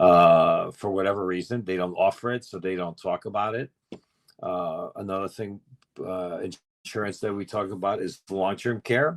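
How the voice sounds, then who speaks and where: A man with a New York accent, fairly low in pitch, with ordinary pitch variation. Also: moderate pace. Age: 60s. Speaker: insurance expert. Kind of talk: educational talk on group call. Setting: group call.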